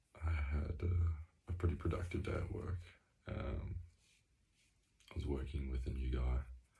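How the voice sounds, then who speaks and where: Quiet and dark, mellow in tone with vocal fry, the voice moves at a moderate pace with ordinary pitch variation, long, frequent pauses and audible room echo. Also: man, very deep, low pitch for a man. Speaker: video diarist. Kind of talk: personal video diary. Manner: quiet, hushed; hesitant, many fillers.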